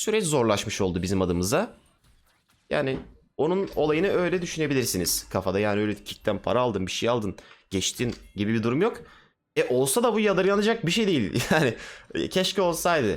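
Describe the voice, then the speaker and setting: A man's animated voice with vocal fry, very wide pitch swings, very even loudness and a fairly quick pace. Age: 20s. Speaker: gaming streamer. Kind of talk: casual chat. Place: home room. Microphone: headset.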